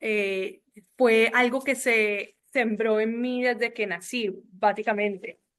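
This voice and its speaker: A woman speaks at a fairly high pitch with ordinary pitch variation. She has a normal speaking voice. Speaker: family business board member. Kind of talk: panel discussion.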